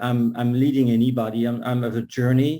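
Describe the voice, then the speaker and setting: A man's medium-pitched voice with a French accent, dark and mellow in tone, at a moderate pace. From France, Paris. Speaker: concert pianist and piano teacher. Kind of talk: casual talk at an online book launch event.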